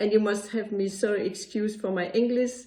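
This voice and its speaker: A woman speaks in a Danish accent with a dark, mellow tone. Her pace is moderate and her intonation fairly even. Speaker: occupational therapist. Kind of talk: pre-recorded presentation. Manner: halting, pauses searching for words.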